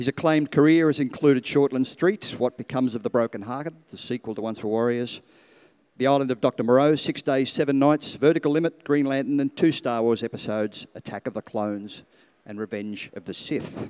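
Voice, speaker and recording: A man with a normal speaking voice talks at a fairly quick pace and medium pitch, his loudness swinging widely. The recording is very clean, dry and close, with no echo and a silent background. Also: ordinary pitch variation. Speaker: event moderator. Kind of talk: moderated Q&A. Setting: stage with audience.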